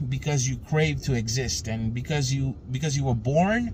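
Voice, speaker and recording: This man's voice is fairly high in pitch and somewhat breathy. He talks at a fairly slow pace. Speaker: spiritual teacher. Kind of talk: casual spiritual talk.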